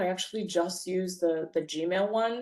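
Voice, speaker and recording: Against a quiet background, a woman speaks at a moderate pace in a dark, mellow tone. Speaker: bookkeeper and software trainer; software trainer. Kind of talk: webinar presentation. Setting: online webinar. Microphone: video call.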